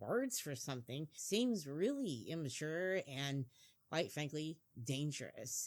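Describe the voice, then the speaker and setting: A woman with a Midwestern American accent speaks at a fairly slow pace in a very deep, low pitch. The recording is very clean, with a silent background. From US Midwest. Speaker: podcast co-host. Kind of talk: opinion monologue. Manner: animated.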